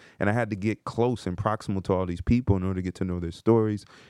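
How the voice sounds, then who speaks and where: A man with an American accent, very deep and low in pitch, at a very fast pace with fairly even intonation, in a quiet background. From New Jersey (New Brunswick). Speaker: career coach and podcast co-founder. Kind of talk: casual chat.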